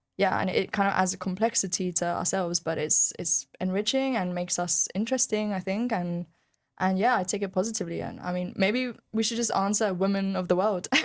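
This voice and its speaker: Fairly quick speech with a British accent. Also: woman, medium pitch for a woman, fairly even intonation. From London, England. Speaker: podcast guest. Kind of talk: casual chat.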